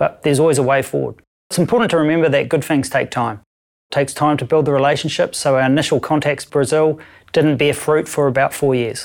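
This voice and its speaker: A man with a New Zealand accent talks at a very fast pace in a fairly high voice. His loudness stays very even, his intonation fairly even, and the recording is very clean with a silent background. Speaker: audit company director. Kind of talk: interview answers.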